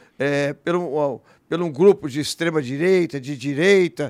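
A man with a plain, everyday voice, fairly high pitch, lively intonation and a fairly slow pace, in a very clean recording with a silent background. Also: dry, close sound with no echo. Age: 60s. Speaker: politician. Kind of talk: interview.

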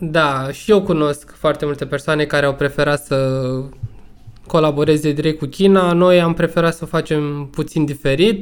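An ordinary speaking voice at a fairly slow pace, with fairly even intonation. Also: man. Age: 30s. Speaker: entrepreneur, sports brand owner. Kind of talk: casual chat. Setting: online remote recording.

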